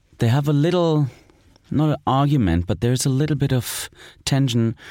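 A man is speaking. He talks with a German accent. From East Germany. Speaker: film director. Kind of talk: interview. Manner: halting.

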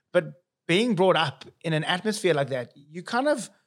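A high-pitched man with a South African accent, lively intonation and a moderate pace. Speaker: accountant and business founder. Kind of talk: casual interview chat.

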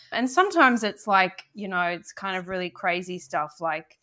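Speaking at a moderate pace with an Australian accent, a woman uses a medium pitch and a bright, sharp tone. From Australia, Sydney. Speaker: novelist and playwright. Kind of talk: interview.

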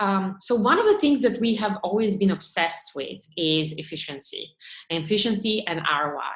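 At a moderate pace, a woman with a Bulgarian accent speaks at a medium pitch with lively intonation. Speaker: tech startup founder and CEO. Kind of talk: interview.

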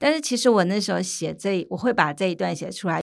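Over a very clean recording with a silent background, a woman speaks at a medium pitch with very wide pitch swings. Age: 50s. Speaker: medical anthropologist. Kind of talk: interview conversation.

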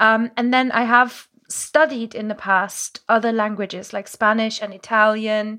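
A woman speaks with a German accent at a fairly high pitch. Her tone is animated, bright and sharp. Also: very clean recording, silent background. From Germany, Moselle region. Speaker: language coach. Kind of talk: casual interview. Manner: animated, laughs often.

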